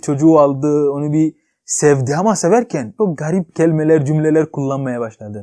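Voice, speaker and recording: In a quiet background, a man with a dark, mellow tone talks at a moderate pace and fairly high pitch, with ordinary pitch variation. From Ghana. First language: not Turkish (speaking Turkish). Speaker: YouTuber; vlogger. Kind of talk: vlog monologue. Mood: cheerful, joking. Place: home room.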